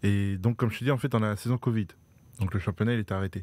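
A man speaks in a fairly low voice with fairly even intonation, and the sound is dry with no echo. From France, Dreux (Eure-et-Loir); France. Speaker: professional handball player; guest. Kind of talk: casual interview. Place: studio. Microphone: studio mic.

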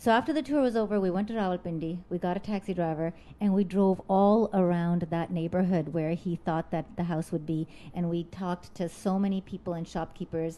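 The voice has a dark, mellow tone, ordinary pitch variation and a fairly quick pace. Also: woman, fairly low pitch for a woman. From Canada. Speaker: singer and composer; storyteller. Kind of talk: storytelling. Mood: emotional, earnest. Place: home room. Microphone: studio mic.

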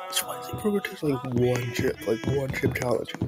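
Over music in the background, a man at a medium pitch makes very wide pitch swings. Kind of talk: casual food review talk.

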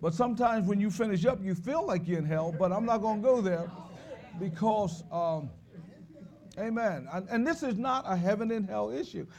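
A man speaks in an animated tone at a fairly quick pace, his pitch high with ordinary variation, over light background noise. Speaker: preacher. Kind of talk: sermon. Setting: church. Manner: animated, call-and-response; fervent, repetitive. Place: church.

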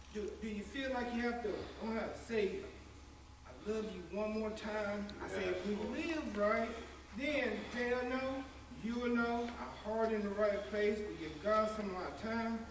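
A man speaks at a fairly slow pace with fairly even intonation and long, frequent pauses. There is audible room echo and light background noise. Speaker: church minister. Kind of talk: prayer and testimony. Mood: fervent, thankful. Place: church.

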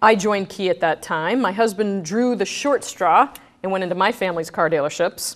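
The speaker is a woman moving at a fairly quick pace. Her pitch variation is ordinary. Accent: American. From Brooklyn, New York. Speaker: bank executive. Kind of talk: guest lecture. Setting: stage with audience. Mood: candid, lightly humorous. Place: hall.

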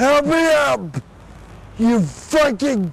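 Over light background noise, a man speaks very slowly with very wide pitch swings, the sound dry with no echo. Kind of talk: angry shouting outbursts. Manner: drunk, slurred, abusive. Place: street. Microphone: camera far.

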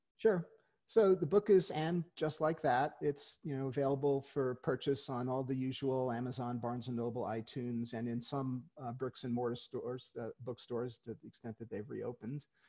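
A man with an American accent, dark and mellow in tone, at a moderate pace with ordinary pitch variation against a quiet background. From New York City, Queens; New York. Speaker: author and retired lawyer; retired lawyer. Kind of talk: interview. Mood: friendly, relaxed. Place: home room. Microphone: headset.

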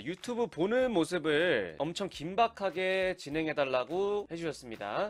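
A man speaks with very wide pitch swings. Faint music sits in the background. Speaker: professional event MC. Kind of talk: casual talk to camera. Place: home room. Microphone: studio mic.

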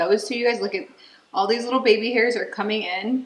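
Audible room echo surrounds a woman's voice. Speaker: lifestyle vlogger. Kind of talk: casual vlog chat. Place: kitchen. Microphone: camera far.

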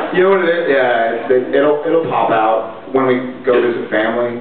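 Audible room echo and noticeable background noise around a man's voice. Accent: Texas. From Texas. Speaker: actor. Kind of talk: fan convention panel answer. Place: hall.

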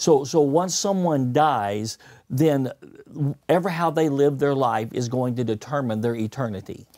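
Against a quiet background, a man talks at a moderate pace in a dark, mellow tone with ordinary pitch variation. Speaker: pastor. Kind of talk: sermon-style teaching with interpreter. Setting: studio. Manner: speaks in short segments. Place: studio. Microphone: lapel.

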